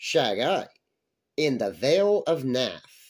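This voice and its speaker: The delivery is very slow. The background is quiet. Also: man. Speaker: story narrator. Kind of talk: horror story reading. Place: home room. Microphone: webcam.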